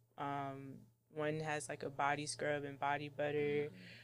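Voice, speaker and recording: A woman's very deep, low voice in a flat monotone, with an American accent. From Washington DC, Jamaican-born. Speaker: candle business owner. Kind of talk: casual interview.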